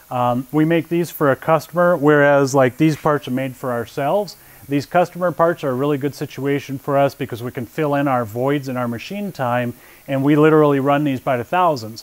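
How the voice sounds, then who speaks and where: Speech comes fairly quickly, its pitch rising and falling in an ordinary way. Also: man. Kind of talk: shop tour presentation. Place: factory. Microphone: lapel.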